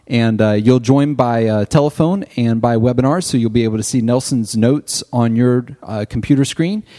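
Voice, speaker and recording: Medium in pitch with a dark, mellow tone, a man talks at a moderate pace with ordinary pitch variation. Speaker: ministry organization president. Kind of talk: casual chat.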